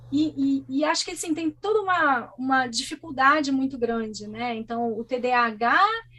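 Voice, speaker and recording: A woman's raised, projected voice, high in pitch, at a moderate pace with lively intonation. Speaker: guest speaking about living with ADHD. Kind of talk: interview conversation. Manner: animated.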